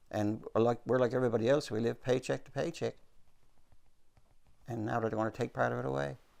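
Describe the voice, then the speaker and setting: A man in a Newfoundland accent, medium pitch, very fast pace, lively intonation, vocal fry and long, frequent pauses. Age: 70s. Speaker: retired salesman, pensioner. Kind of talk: interview.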